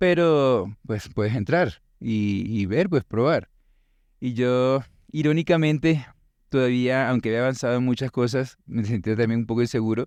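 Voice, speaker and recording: A man with a medium-pitched voice speaks fairly slowly with a Venezuelan accent and ordinary pitch variation. The background is quiet. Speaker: teacher and musician. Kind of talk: interview conversation.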